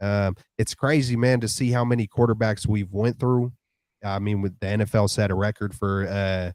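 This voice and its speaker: A man speaks with an American accent at a moderate pace and fairly low pitch. His intonation stays fairly even in a very clean recording with a silent background. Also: dry, close sound with no echo. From Vallejo, California (Bay Area). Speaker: football fan show co-host. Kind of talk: casual live-stream chat. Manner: casual, halting with restarts.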